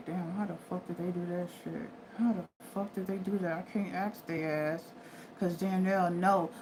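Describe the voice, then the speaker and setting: Using a put-on character voice at medium pitch, a woman mumbles at a moderate pace over light background noise. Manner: mumbling under breath.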